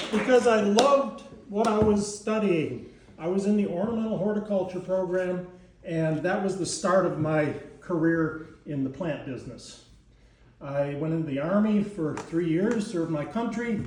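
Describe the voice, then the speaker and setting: A man with an American accent speaks at a moderate pace in a high voice with lively intonation, and the room echo is audible. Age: 70s. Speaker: gardening instructor. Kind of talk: class talk. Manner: halting.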